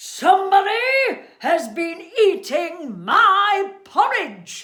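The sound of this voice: A growling, put-on character voice at an extremely high pitch moves at a very slow pace.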